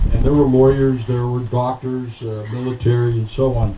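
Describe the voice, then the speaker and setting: Clear background noise surrounds a male speaker of middle pitch. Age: 70s. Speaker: retired army general. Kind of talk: speech at outdoor political picnic. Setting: outdoor picnic with crowd.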